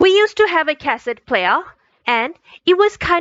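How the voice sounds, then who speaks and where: A woman at a moderate pace with very wide pitch swings. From Bangladesh. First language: Chakma. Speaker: student. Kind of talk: scripted narration.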